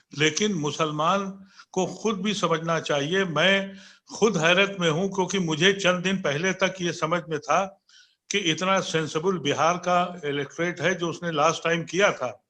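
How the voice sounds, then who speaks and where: A high-pitched man with a bright, sharp tone and fairly even intonation. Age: 70s. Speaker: political commentator. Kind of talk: panel debate.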